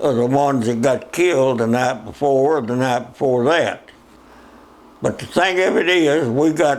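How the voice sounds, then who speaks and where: A man with a Southern US accent, a fairly high pitch, ordinary pitch variation, a moderate pace and very even loudness, over noticeable background noise. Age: 80s+. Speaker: war veteran. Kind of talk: interview answer.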